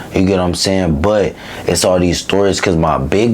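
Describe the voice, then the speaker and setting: Audible room echo and noticeable background noise surround a man's voice. He speaks at a fairly quick pace with a very deep, low pitch. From East Oakland, California. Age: 20s. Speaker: interview guest. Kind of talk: casual interview, personal story.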